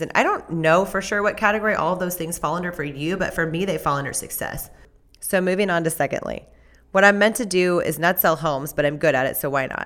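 With an American accent, a woman talks very fast at a fairly low pitch. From Southern California. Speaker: podcast host and realtor. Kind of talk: personal storytelling monologue.

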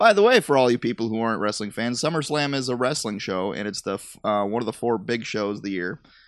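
Playful in tone, a man speaks at a very fast pace with hardly any pauses, his medium pitch varying in an ordinary way. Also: quiet background. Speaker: podcast host. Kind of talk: casual banter chat. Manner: joking, playful.

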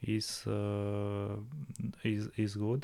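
In a Romanian accent, a man speaks with a dark, mellow tone and fairly low pitch. His pace is very slow. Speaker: winemaker. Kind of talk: casual interview. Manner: halting.

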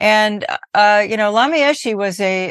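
Against a quiet background, a woman with a Californian accent talks at a moderate pace. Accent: Californian American. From US West Coast, Berkeley California. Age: 70s. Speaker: Buddhist teacher and musician. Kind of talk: interview.

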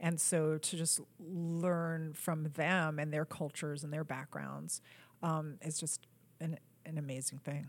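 On a very clean recording with a silent background, a woman with a very deep, low voice speaks at a fairly slow pace in a monotone, flat way. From New York. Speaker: film producer. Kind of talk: casual interview.

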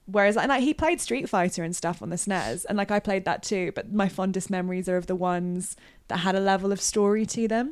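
Against a silent background in a very clean recording, a woman with a British accent speaks very fast at a medium pitch with ordinary pitch variation. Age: 20s. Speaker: games journalist. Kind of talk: casual chat. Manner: animated.

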